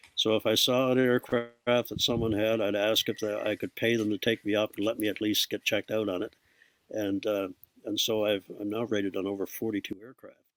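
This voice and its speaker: Music plays behind a man talking at a fairly quick pace. His pitch sits fairly low, and his intonation stays monotone and flat. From Newfoundland, Canada. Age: 70s. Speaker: retired airline pilot, author and speaker. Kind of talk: interview storytelling. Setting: podcast interview. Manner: hesitant, many fillers and repeats.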